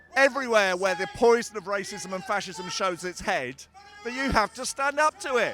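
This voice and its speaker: A man with a high pitch projects a raised voice with lively intonation. He keeps a moderate pace while music plays in the background. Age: 60s. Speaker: protester. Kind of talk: street interview. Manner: impassioned.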